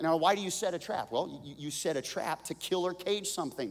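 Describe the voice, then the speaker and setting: In a very clean recording with a silent background, a man speaks at a fairly slow pace in an animated tone. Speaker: pastor. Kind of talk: sermon. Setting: church. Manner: animated, emphatic pulpit delivery, urgent and vivid with warnings; direct audience address, pressing points with repeated commands.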